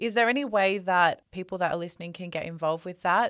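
A woman speaks with an Australian accent. Her pitch is medium with ordinary variation. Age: 20s. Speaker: podcast host. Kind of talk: interview. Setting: video call.

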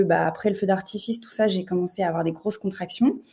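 Noticeable background noise sits behind a woman talking at a very fast pace. Her pitch is medium, with ordinary variation. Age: 30s. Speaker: mother, childcare assistant. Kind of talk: interview testimony.

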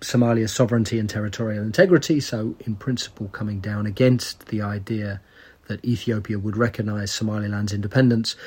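A man speaks at a fairly quick pace in a medium pitch, his intonation fairly even and his voice somewhat breathy. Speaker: podcast host. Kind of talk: interview discussion on politics.

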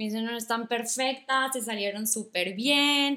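A woman talks very slowly in a high voice with a bright, sharp tone. Her pitch varies in an ordinary way, and the recording is very clean with a silent background. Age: 20s. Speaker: small business owner selling wedding bathroom kits. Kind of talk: casual interview.

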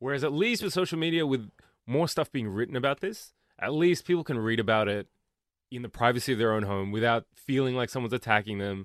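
A man speaks very fast with lively intonation at a medium pitch. The sound is dry and close with no echo, over a quiet background. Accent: Australian. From Australia, Melbourne. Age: 30s. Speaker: comedian. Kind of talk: casual chat.

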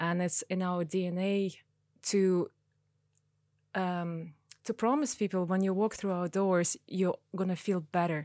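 A woman with a Russian accent talks at a fairly slow pace with long, frequent pauses, fairly even intonation and very even loudness, in a very clean, dry, close recording with a silent background and no echo. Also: medium pitch for a woman. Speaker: piercing studio owner. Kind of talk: interview.

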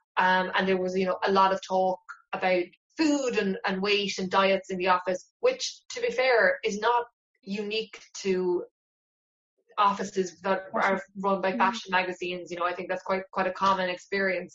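Speaking in a Cork accent, a woman keeps a medium pitch, fairly even intonation and a moderate pace. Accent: Cork Irish. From Ireland, West Cork. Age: 30s. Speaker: novelist. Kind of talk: interview.

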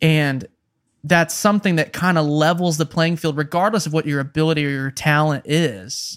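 A man with an American accent at a fairly high pitch and moderate pace, ordinary in pitch variation, in a dry, close, echo-free, very clean recording with a silent background. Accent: Midwestern with a slight Southern creep. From Kansas (Wichita), US Midwest. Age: 20s. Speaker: touring guitarist and pop singer-songwriter. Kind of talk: casual chat. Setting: living room.

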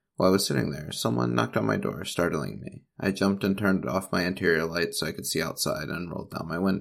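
Talking at a very fast pace with hardly any pauses, a man uses lively intonation and vocal fry at a very deep, low pitch. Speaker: ghost story narrator. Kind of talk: ghost story telling, reading a story aloud.

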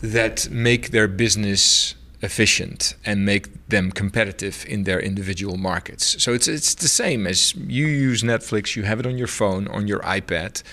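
The speaker has a Dutch accent and a bright, sharp tone, with ordinary pitch variation. The pace is moderate, with hardly any pauses. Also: man, fairly low pitch for a man. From Netherlands. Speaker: telecom CEO. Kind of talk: interview. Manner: halting.

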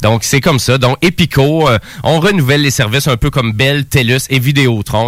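A man with a Quebec accent at a moderate pace, music playing in the background. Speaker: radio host. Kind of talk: radio show chat.

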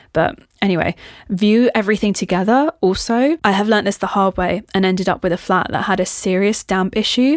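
With an English accent, a woman speaks at a medium pitch and a fairly quick pace in an animated tone, with ordinary pitch variation, very even loudness and a dry, close sound with no echo. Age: 30s. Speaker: podcast host. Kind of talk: casual chat.

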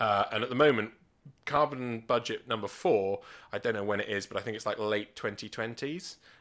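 Recorded very cleanly against a silent background, a man with a British accent talks at a moderate pace in a medium pitch with ordinary variation. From England, Gloucestershire. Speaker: stand-up comedian and nuclear physicist. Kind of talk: casual chat.

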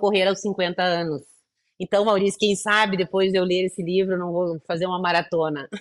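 At a fairly quick pace, a woman with a medium pitch speaks in a monotone, flat intonation, in a dry, close sound with no echo. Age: 50s. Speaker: entrepreneur, founder of a women's business program. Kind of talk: interview conversation.

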